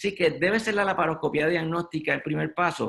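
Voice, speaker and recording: A man talks in a plain, everyday voice. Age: 60s. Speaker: gynecologic surgeon. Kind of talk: medical webinar lecture. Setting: online webinar.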